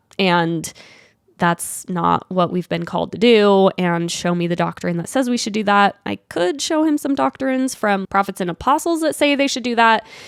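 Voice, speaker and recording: In a Utah accent, a woman talks with very wide pitch swings. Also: medium pitch for a woman, moderate pace. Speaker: podcast host. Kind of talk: casual monologue, solo podcast. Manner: casual, filler-heavy (like, um).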